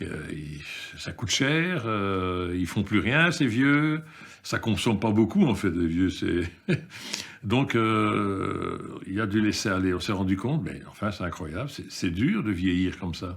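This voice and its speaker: Against noticeable background noise, the speaker talks at a very slow pace with lively intonation. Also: man, fairly low pitch for a man. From Belgium, of Yugoslav descent. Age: 60s. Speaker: activist in a seniors' protest group. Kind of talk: interview testimony. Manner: halting.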